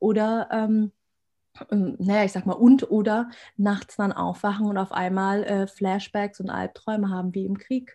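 Somewhat breathy and dark, mellow in tone, the woman's medium pitch stays monotone and flat at a fairly slow pace. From Germany, rural village. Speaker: abuse recovery coach and podcaster. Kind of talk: casual interview.

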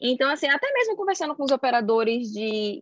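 This woman's tone is animated, with very wide pitch swings. She keeps a moderate pace. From Brazil, Salvador (Bahia). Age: 20s. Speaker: chemical engineer. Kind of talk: casual interview.

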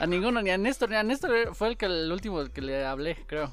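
Against noticeable background noise, a man with a Mexican accent speaks in a high pitch with ordinary pitch variation. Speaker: podcast host. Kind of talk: casual chat.

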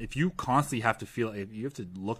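Speaking at a fairly quick pace with a Canadian accent, a man has an unremarkable speaking voice, fairly low in pitch, with ordinary pitch variation. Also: very clean recording, silent background. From Canada. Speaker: fitness coach. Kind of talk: casual interview.

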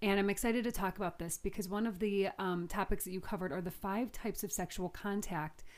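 An ordinary speaking voice with an American accent moves at a fairly quick pace in a very clean recording with a silent background. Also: woman. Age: 30s. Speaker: podcast host. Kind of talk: casual chat.

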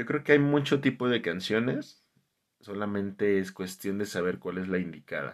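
With a Mexican accent, a man talks at a moderate pace with a fairly low pitch and lively intonation against a quiet background. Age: 30s. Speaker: podcast host. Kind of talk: casual monologue.

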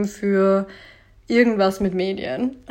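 A woman's voice at a medium pitch. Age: 20s. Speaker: podcast host, blogger. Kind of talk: solo monologue podcast.

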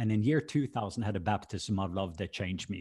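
The speaker has a Norwegian accent. It is a very clean recording with a silent background. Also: man. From Norway. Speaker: minister. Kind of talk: casual chat.

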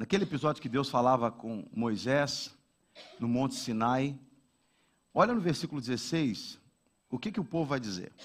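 Lively intonation marks the speech, which moves at a moderate pace. Long pauses come often. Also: man, medium pitch for a man. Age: 40s. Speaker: pastor. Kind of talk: sermon.

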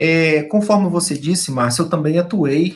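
At a moderate pace, a man speaks with a somewhat breathy voice and ordinary pitch variation. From eastern Minas Gerais, Brazil (Peçanha). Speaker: education professor. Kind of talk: radio interview. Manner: hesitant, many fillers.

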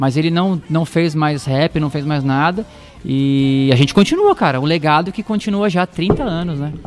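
A man talks at a fairly high pitch and a moderate pace with ordinary pitch variation. Noticeable background noise can be heard. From Osasco, São Paulo, Brazil. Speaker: gospel musician and drum teacher. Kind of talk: casual interview chat.

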